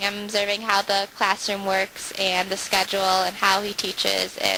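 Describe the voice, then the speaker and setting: Over noticeable background noise, a woman with an Upper Midwest accent speaks at a moderate pace and a medium pitch. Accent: Upper Midwest American. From US Midwest (Wisconsin). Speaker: student teacher. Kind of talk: interview. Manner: hesitant, with filler words.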